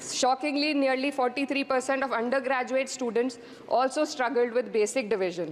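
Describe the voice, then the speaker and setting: Over noticeable background noise, a woman speaks at a high pitch with ordinary pitch variation and very even loudness. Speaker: member of parliament. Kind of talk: parliamentary speech. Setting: parliament chamber. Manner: formal.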